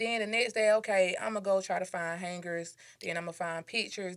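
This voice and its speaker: The recording is very clean, its background silent. An unremarkable speaking voice, with fairly even intonation, holds a moderate pace. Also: woman. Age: 20s. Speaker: boutique owner. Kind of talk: casual interview. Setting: in her store.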